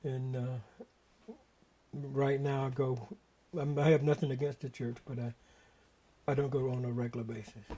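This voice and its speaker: Somewhat breathy, a man speaks in a fairly high pitch. His intonation stays fairly even. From US South, eastern North Carolina. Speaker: retired Marine veteran recalling family history. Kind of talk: oral history interview. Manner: halting, many fillers and restarts.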